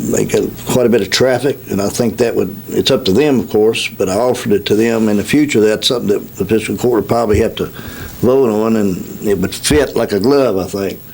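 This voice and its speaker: Fairly even intonation in an American accent, with noticeable background noise. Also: man, medium pitch for a man, fairly quick pace. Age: 60s. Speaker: county executive official. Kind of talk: radio interview. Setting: radio studio. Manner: halting, many fillers.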